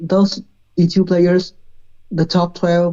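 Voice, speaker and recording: A woman speaks with a fairly low pitch. Her pace is fairly slow. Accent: non-native. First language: not English. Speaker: esports player. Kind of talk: interview answers on live stream. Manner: halting.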